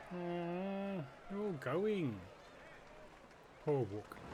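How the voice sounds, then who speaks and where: The voice has a middle pitch, with clear background noise behind it. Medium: machinima. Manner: playful, casual.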